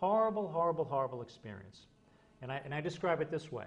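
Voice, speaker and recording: Very fast and somewhat breathy, a man's speech pours out. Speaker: hypnotist. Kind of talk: interview.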